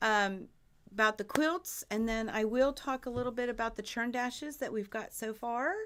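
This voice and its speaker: Heard on a very clean recording with a silent background, a woman speaks with ordinary pitch variation. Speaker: quilting channel host. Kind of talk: live stream Q&A chat. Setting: live stream. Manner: loud, projecting voice. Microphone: mic sits far from her.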